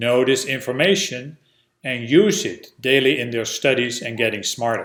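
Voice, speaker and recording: A man speaks at a fairly slow pace in a Dutch accent. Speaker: educational video presenter. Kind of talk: instructional narration.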